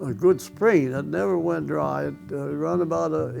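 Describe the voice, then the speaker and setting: Music plays in the background. A man with a medium pitch speaks at a fairly slow pace. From Osage County, Missouri, USA. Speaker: World War II veteran and former farmer. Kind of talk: oral history interview answer.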